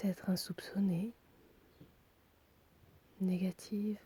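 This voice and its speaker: A soft-spoken woman talks very slowly at medium pitch, somewhat breathy, with a dark, mellow tone. Her intonation is monotone and flat, broken by long, frequent pauses. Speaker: meditation guide. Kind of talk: guided relaxation.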